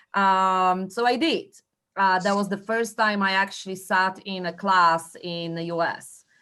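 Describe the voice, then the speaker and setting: Against a quiet background, a woman with a strong Polish accent and a bright, sharp tone speaks at a fairly slow pace with fairly even intonation. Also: medium pitch for a woman. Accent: heavy Polish. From Poland. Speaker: real estate agent. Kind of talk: training presentation. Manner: hesitant, many fillers.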